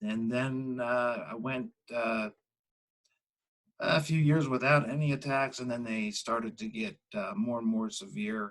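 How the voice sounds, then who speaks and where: Medium-pitched male speech at a fairly slow pace, with ordinary pitch variation. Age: 60s. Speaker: patient sharing his experience. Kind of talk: interview. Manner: halting, many fillers.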